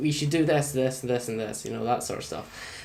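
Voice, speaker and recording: Someone with a British accent talks at a very fast pace over noticeable background noise. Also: man. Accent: UK. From Scotland. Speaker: gaming YouTuber. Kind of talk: let's play commentary. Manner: casual, conversational with many fillers.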